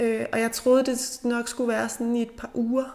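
At a fairly slow pace, a woman speaks. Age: 40s. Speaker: journalist, bereaved mother. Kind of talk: interview about grief and returning to work. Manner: halting.

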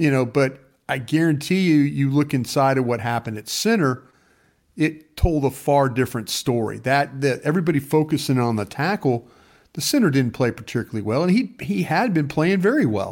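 Lively intonation at a fairly quick pace, on a very clean recording with a silent background. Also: man, fairly high pitch for a man. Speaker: radio co-host and former NFL scout. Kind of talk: casual sports talk podcast. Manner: animated, joking.

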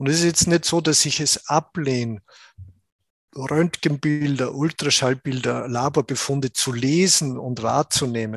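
Recorded dry and close with no echo, a man with a plain, everyday voice and fairly high pitch speaks at a fairly slow pace with ordinary pitch variation. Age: 60s. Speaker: Ayurveda doctor. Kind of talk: interview.

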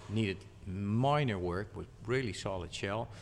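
A man with a Dutch accent speaks at a moderate pace, his fairly low pitch rising and falling in an ordinary way. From Netherlands. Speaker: magazine publisher. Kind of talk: casual interview. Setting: at a car show. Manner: halting.

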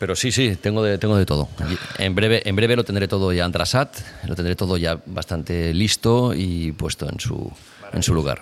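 With noticeable background noise, a man speaks at a moderate pace in a very deep, low voice. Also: ordinary pitch variation. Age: 40s. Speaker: skater and DJ. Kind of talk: casual chat. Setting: garage. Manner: halting.

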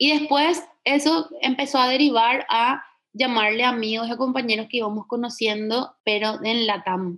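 Against a quiet background, a woman talks at a moderate pace in a high pitch with ordinary pitch variation. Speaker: costume designer. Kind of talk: personal storytelling interview.

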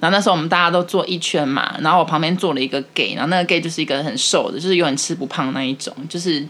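A woman speaks at a fairly low pitch. Noticeable background noise can be heard. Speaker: podcast co-host, office worker. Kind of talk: casual chat.

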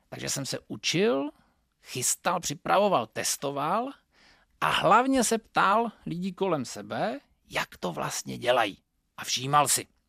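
In a dry, close sound with no echo and a very clean, silent-background recording, a man with a high pitch speaks at a very slow pace with very wide pitch swings. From northern Moravia, Czechia. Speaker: communication trainer. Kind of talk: lecture.

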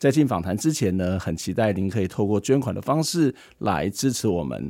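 A man speaks at a moderate pace in a dark, mellow tone, his pitch swinging very widely. The recording is very clean, with a silent background. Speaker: podcast interviewer. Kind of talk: scripted narration.

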